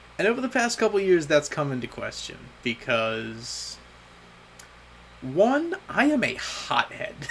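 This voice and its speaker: The speaker talks at a fairly slow pace with long, frequent pauses and very wide pitch swings. Noticeable background noise is present. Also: man, high pitch for a man. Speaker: vlogger. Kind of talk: personal video diary monologue. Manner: halting, repeating words.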